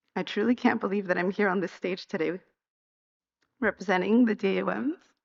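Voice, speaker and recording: A woman talks at a fairly quick pace. Vocal fry runs through her voice. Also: medium pitch for a woman, ordinary pitch variation. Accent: American. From US, Guatemalan American family. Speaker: graduating doctoral student, acupuncturist. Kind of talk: commencement speech. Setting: stage with audience.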